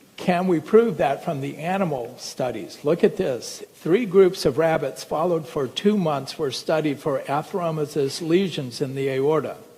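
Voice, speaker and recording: In a plain, everyday voice, a man talks at a moderate pace and a fairly high pitch, with ordinary pitch variation and hardly any pauses. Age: 60s. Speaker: medical doctor. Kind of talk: lecture. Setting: stage with audience.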